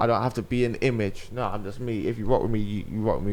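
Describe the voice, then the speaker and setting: A man speaks at a very fast pace with a London accent. His pitch is fairly low. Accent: urban London speech. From South London. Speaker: radio presenter and podcast host. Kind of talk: casual chat.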